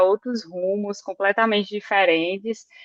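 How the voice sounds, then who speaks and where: A woman's medium-pitched voice with a northeastern Brazilian accent, fairly even intonation and a fairly slow pace. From Northeast Brazil (Campina Grande, Paraíba). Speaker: electrical engineer. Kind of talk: podcast interview. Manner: hesitant, many fillers.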